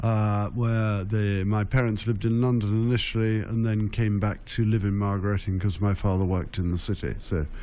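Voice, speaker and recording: A dark, mellow tone with fairly even intonation, very even loudness and audible room echo. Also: man, fairly low pitch for a man, moderate pace. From Essex, England. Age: 60s. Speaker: county ceremonial official. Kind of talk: radio interview. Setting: radio studio. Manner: halting, many fillers.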